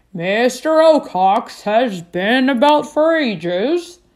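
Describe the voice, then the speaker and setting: Using a put-on character voice, a woman talks very slowly at a high pitch. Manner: stern, lecturing.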